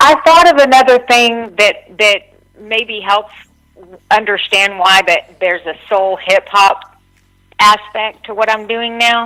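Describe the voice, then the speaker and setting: A woman's bright, sharp voice in a Texan accent, fairly high in pitch, with ordinary pitch variation. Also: fairly slow pace. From Texas, Dallas-Fort Worth area. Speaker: singer-songwriter. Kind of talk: interview.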